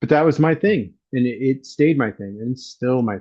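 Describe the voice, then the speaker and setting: With an American accent, a man speaks at a fairly quick pace in a plain, everyday voice. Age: 60s. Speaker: BMX photographer and writer. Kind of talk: casual chat.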